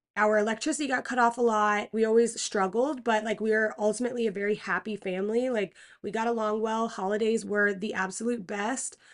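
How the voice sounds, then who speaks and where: A woman with an American accent and an unremarkable speaking voice talks at a fairly high pitch and a fairly quick pace with fairly even intonation and hardly any pauses, over a quiet background. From Pennsylvania. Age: 20s. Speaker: podcast host. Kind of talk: testimony. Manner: casual.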